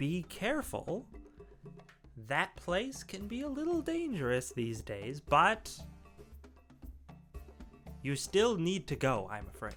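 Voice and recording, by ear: With clear music in the background, a put-on character voice speaks at a fairly slow pace, with long, frequent pauses. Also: man, high pitch for a man.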